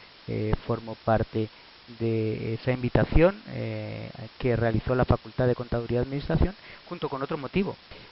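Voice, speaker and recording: With a Madrid accent, a man talks at a fairly quick pace and with ordinary pitch variation over noticeable background noise. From Spain, Madrid. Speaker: professor. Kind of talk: lecture. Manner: halting, many filler sounds.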